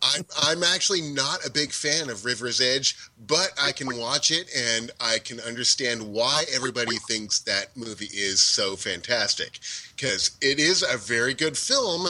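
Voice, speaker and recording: Noticeable background noise sits behind this man. He speaks at a moderate pace with lively intonation. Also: medium pitch for a man. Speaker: property assistant manager, panelist.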